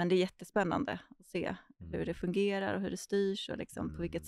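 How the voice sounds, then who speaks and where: A woman talks at a fairly quick pace with hardly any pauses, in a dry sound with no echo and a quiet background. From Stockholm, Sweden (early years in Argentina). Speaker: urban planner and landscape architect; podcast guest. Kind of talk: podcast interview. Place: studio. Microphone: studio mic.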